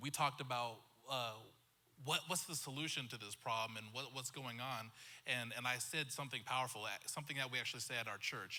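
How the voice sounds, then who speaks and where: A man with an American accent, medium pitch, bright and sharp tone, fairly even intonation and a fairly quick pace. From western US (Montana, Wyoming). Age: 30s. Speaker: pastor. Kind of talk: panel discussion.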